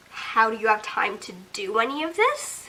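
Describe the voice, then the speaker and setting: Over noticeable background noise, a woman uses a raised, projected voice at a fairly slow pace with very wide pitch swings. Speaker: booktuber. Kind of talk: casual talk to camera. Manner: rising intonation, sounds like asking questions; hesitant, says um often.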